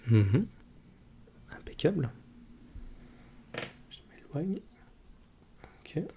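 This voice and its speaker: A man with a fairly high pitch speaks very slowly and softly, his dark, mellow tone swinging very widely in pitch, broken by long, frequent pauses and marked by vocal fry. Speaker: ASMR creator playing an ophthalmologist. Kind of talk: ASMR role-play eye exam, soft spoken. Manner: soft-spoken.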